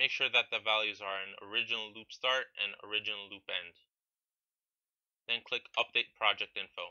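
Speaking at a moderate pace, a man uses a fairly low pitch. His intonation stays fairly even. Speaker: video game modding tutorial maker. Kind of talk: software tutorial narration. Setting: low-quality microphone.

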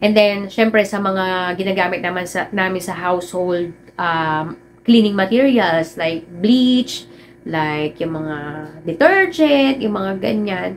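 The speech moves at a very slow pace with ordinary pitch variation. Light background noise is present. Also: woman, medium pitch for a woman. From Philippines. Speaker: vlogger. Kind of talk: personal vlog talk. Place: home room.

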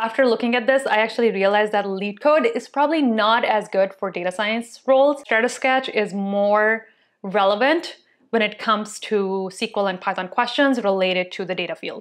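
The voice moves at a moderate pace with ordinary pitch variation. The background is quiet. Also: woman. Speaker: tech video creator. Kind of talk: casual vlog chat, then tutorial. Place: home room. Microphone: lapel.

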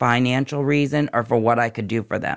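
A man's normal speaking voice at medium pitch, with ordinary pitch variation and a moderate pace, on a very clean recording with a silent background. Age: 50s. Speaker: nurse practitioner in addiction recovery. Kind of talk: personal testimony.

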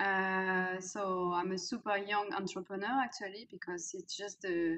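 A woman with a French accent, a bright, sharp tone and a fairly slow pace. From France. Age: 30s. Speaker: executive coach. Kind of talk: interview. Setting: video call. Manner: hesitant, many fillers. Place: home room. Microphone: webcam.

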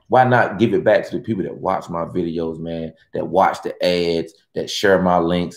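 A very deep, low male voice at a moderate pace, with audible room echo. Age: 40s. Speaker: YouTuber hosting a livestream. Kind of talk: casual live stream chat with viewers. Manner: animated. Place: home room.

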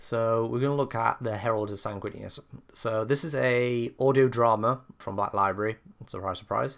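A man with a British accent and fairly even intonation. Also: medium pitch for a man, moderate pace. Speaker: book reviewer. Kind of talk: casual review talk to camera.

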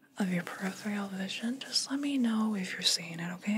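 A woman speaks softly, her tone gentle. Light background noise can be heard. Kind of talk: soft-spoken roleplay talk to the viewer. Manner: soft, gentle ASMR-style speech. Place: home room.

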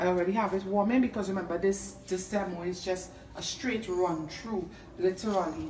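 A woman of medium pitch at a moderate pace, with audible room echo and light background noise. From Trinidad and Tobago. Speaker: home cook and food video creator. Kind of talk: cooking tutorial. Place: kitchen. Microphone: phone near.

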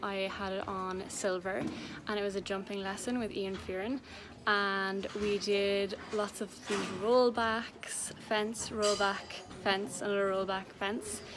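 A woman speaks at a very slow pace. Her intonation stays fairly even over noticeable background noise. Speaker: equestrian vlogger. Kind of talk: casual vlog chat. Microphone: phone near.

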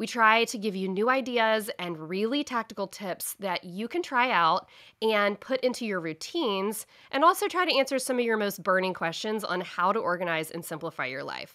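Against a quiet background, a woman speaks at a moderate pace with a fairly high pitch. Her tone is bright, sharp and animated, with lively intonation. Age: 30s. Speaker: podcast host, planner business owner; podcast host. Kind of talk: solo podcast tutorial. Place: home room.

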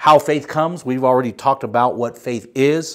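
A man talks at a fairly quick pace, and the background is quiet. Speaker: pastor. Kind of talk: sermon. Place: studio. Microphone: lapel.

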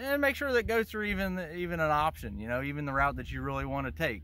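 A man speaks with very wide swings in pitch over light background noise. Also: dry sound with no echo. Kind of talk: interview answer. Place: open country. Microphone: phone near.

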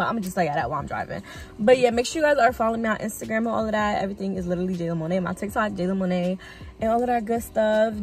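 Very fast speech from a woman with ordinary pitch variation, a dry sound with no echo, and faint music in the background. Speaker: vlogger. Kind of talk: casual vlog chat. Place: car. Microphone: phone near.

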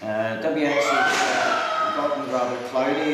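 Audible room echo and noticeable background noise surround a man's voice. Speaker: radio operator. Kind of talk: amateur radio contact. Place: hall.

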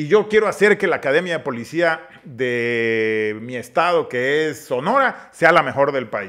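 At a fairly slow pace, a man with a fairly high pitch speaks in a bright, sharp tone with lively intonation. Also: quiet background. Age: 50s. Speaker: politician. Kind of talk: casual interview chat. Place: studio. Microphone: studio mic.

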